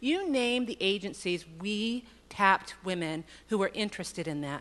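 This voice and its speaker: A woman's medium-pitched voice with lively intonation over a quiet background. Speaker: state agency executive director. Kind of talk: conference speech. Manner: fast.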